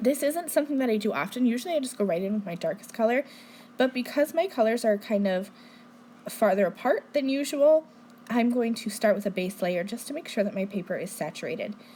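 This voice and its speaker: A woman speaks very fast at a fairly high pitch with lively intonation. There is noticeable background noise. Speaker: card-making demonstrator. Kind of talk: tutorial.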